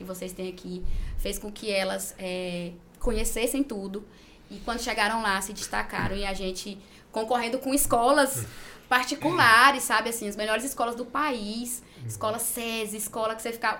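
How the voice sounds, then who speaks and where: Over noticeable background noise and audible room echo, a woman speaks at a fairly high pitch with ordinary pitch variation and big swings in loudness. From Gurupi, Tocantins, Brazil. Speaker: school principal and teacher. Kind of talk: interview.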